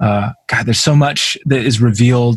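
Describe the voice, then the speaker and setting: A man with an American accent speaks at a fairly quick pace and medium pitch, somewhat breathy, with ordinary pitch variation. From US, Vermont. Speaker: podcast host. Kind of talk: casual interview.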